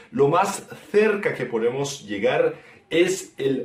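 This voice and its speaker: This man speaks at a very slow pace. His intonation is lively. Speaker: guest language explainer. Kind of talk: language lesson explanation.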